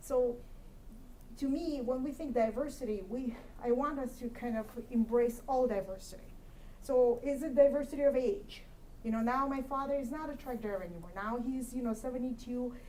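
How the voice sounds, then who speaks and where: Audible room echo surrounds a woman with a high pitch and a dark, mellow tone, who speaks at a moderate pace with ordinary pitch variation. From Kyrgyzstan. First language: Russian. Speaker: commission applicant, accountant. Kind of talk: interview answer at public meeting. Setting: city council meeting room.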